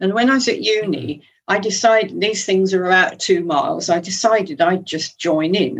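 A woman with an ordinary speaking voice and a fairly low pitch speaks at a moderate pace. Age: 60s. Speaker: amateur cyclist. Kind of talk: casual interview.

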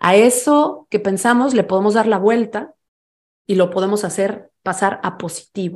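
At a fairly slow pace, a woman with a Mexican accent talks at a medium pitch with ordinary pitch variation. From Mexico. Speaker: fintech founder and financial educator. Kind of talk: interview and workshop talk; guided exercise.

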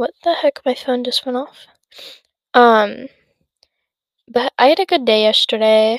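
A woman talks at a high pitch and fairly slow pace, with ordinary pitch variation, long, frequent pauses, and a dry, close sound with no echo. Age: young. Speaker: podcast host. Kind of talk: casual monologue. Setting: home, sitting on bed. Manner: rambling, hesitant with many fillers.

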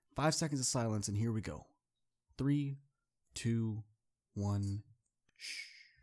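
At a fairly slow pace with long, frequent pauses, a man speaks in an upbeat, animated tone at medium pitch with ordinary pitch variation, in a very clean recording with a silent background. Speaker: motivational speaker and podcast host. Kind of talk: solo podcast monologue with pep talk. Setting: studio. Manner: upbeat, animated, warm and encouraging; conversational, direct address, casual.

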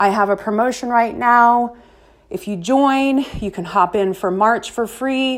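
A woman speaks with a fairly high pitch and ordinary pitch variation, in a normal speaking voice. Her pace is fairly slow, and the recording is very clean with a silent background. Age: 40s. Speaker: fitness and organization coach, podcast host. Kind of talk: motivational monologue. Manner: casual, conversational with fillers.

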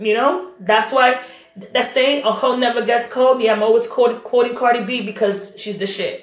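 An animated woman's voice, high-pitched, at a moderate pace, with noticeable background noise and audible room echo. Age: 30s. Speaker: video blogger. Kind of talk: monologue rant.

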